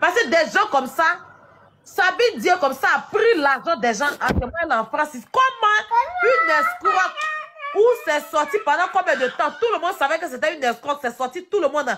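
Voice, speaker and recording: With an Ivorian accent, the speaker keeps a moderate pace over noticeable background noise. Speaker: live stream host. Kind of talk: casual live-stream discussion.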